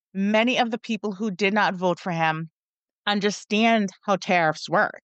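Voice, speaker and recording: Moderately paced, a woman with an American accent talks in a plain, everyday voice at medium pitch, with ordinary pitch variation. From United States. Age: 40s. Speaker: podcast production company owner. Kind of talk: interview.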